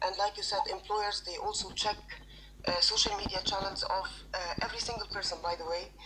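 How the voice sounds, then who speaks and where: Noticeable background noise accompanies a woman whose pace is fairly quick. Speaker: HR recruiter and personal branding trainer. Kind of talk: audience comment in live audio session. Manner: halting, many fillers.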